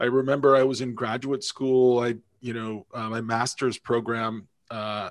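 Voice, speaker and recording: Over a quiet background, a man with an American accent speaks at a moderate pace, his medium pitch moving in a fairly even intonation. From upstate New York. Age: 50s. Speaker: video game reviewer and podcaster. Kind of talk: casual interview. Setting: remote call. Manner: halting, many false starts.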